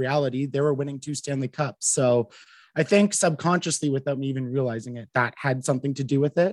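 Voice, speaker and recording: In a very clean recording with a silent background and a dry, close sound free of echo, a man with a Canadian accent talks at a fairly quick pace in an unremarkable speaking voice of medium pitch. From Canada, Ottawa area. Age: 20s. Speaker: radio marketing worker and mental health advocate. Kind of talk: casual interview chat.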